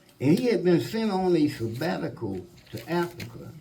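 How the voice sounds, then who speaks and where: With an Alabama accent, a man talks at a fairly slow pace with very wide pitch swings amid audible room echo. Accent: Alabama Southern. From US South, Florence, Alabama. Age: 70s. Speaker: musician. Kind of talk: panel storytelling. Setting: stage with audience.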